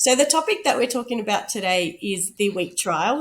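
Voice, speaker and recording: A woman speaks with lively intonation. Noticeable background noise runs behind her. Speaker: podcast host. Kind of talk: casual interview.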